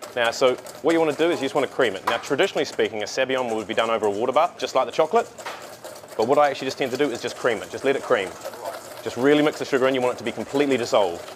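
Through noticeable background noise, a man talks at a very fast pace with ordinary pitch variation. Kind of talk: tutorial. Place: cafe.

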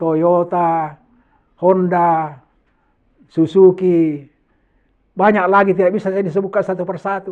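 A man talks at a fairly slow pace. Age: 70s. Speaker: HIV/AIDS educator, AIDS commission board member. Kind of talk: educational talk to school students.

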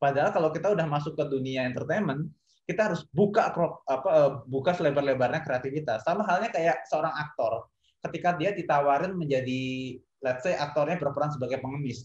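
In a quiet background with audible room echo, a man speaks very fast at a fairly high pitch, somewhat breathy, with ordinary pitch variation. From East Java, Indonesia (Kediri). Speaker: esports industry professional. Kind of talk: panel discussion. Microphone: video call.

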